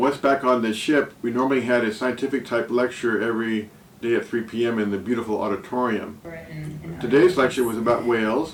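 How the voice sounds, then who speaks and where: A man's medium-pitched voice with ordinary pitch variation over noticeable background noise. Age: 70s. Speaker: travel vlogger. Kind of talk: scripted narration. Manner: hesitant with fillers.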